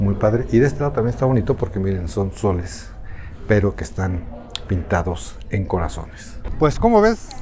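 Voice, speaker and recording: A quiet, fairly low-pitched man's voice at a moderate pace, with ordinary pitch variation and noticeable background noise. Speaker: travel vlogger, reporter. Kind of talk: travel vlog narration. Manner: speaking quietly; animated.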